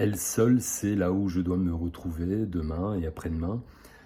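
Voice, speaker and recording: Fairly slow, somewhat breathy speech from a man with a dark, mellow tone. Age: 60s. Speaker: psychosomatic therapist. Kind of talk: self-presentation video. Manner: hesitant, many filler sounds.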